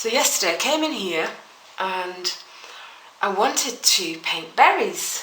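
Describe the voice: With big pitch swings and a bright, sharp tone, a woman at a medium pitch talks at a slow pace over audible room echo.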